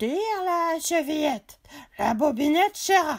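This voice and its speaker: Putting on a squeaky character voice, a woman talks at a moderate pace in a high pitch. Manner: softened, gentle, deceptive.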